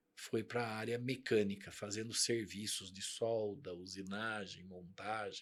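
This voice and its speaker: A man talks very slowly. His pitch sits in the medium range. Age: 50s. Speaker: company CEO. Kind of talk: interview.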